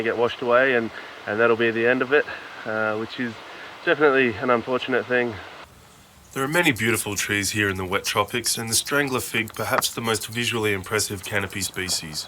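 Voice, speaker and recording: Against noticeable background noise, a man with an Australian accent talks at a fairly quick pace with a medium pitch and fairly even intonation. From Australia, Kuranda, Queensland. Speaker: orchid hunting video presenter. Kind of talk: scripted narration; field commentary. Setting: outdoors in rainforest. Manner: hesitant, many fillers.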